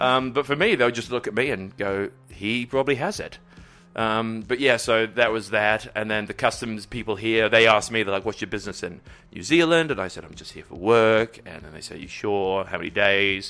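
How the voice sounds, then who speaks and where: Over background music, a man talks at a moderate pace with a medium pitch and ordinary pitch variation. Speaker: podcast guest. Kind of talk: casual chat. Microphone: very close to the microphone.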